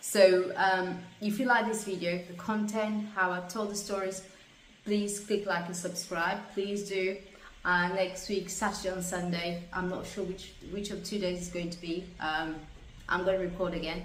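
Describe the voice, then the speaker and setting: A woman's medium-pitched, monotone, flat voice at a moderate pace, with noticeable background noise and audible room echo. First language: not English. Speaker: stroke survivor vlogger. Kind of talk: personal testimony monologue. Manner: halting, word-finding pauses and repetitions.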